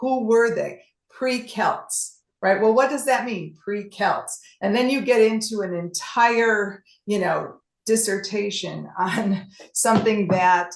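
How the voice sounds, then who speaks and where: A woman with a fairly high pitch, ordinary pitch variation and a very slow pace. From US Midwest, Chicago. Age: 60s. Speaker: travel presenter. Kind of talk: presentation with Q&A. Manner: halting.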